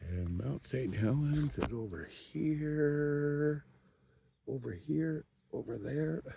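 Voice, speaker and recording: Relaxed in tone, a man speaks at a fairly high pitch with lively intonation. He goes very slowly, with long, frequent pauses. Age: 60s. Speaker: kayak angler. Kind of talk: casual vlog narration. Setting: outdoors on a lake in a kayak. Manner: relaxed, rambling with fillers.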